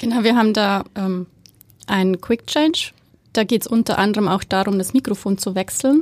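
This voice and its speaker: A woman with a slight Bavarian accent speaks at a moderate pace in a fairly high voice, her pitch varying in an ordinary way, with a dry, close sound and no echo. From Bavaria, Germany. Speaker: head of theatre make-up department. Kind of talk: casual interview. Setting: studio. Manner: hesitant, many fillers.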